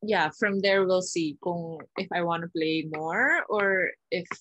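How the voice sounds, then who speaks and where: Fairly low for a woman, her voice carries fairly even intonation in a dry sound with no echo. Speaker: interview guest. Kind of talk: interview answer. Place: home room. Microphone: video call.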